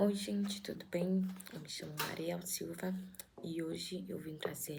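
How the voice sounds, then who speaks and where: Soft-spoken and somewhat breathy, a woman with a dark, mellow tone and medium pitch speaks at a fairly slow pace with ordinary pitch variation, and audible room echo surrounds her. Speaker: YouTuber reading a spiritual book aloud. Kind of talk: casual intro before reading aloud. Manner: halting.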